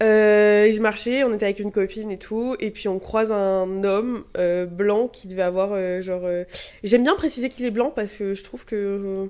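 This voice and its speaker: A woman talks in a normal speaking voice at a moderate pace. Her pitch is medium. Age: 20s. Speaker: medical student. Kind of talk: casual chat. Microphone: too far from the mic at first.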